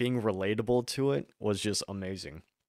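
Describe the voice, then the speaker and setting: In a dry, close sound with no echo, a man talks at a moderate pace with a fairly low pitch and ordinary pitch variation. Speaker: podcast host. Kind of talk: casual chat. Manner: soft-spoken; mumbles.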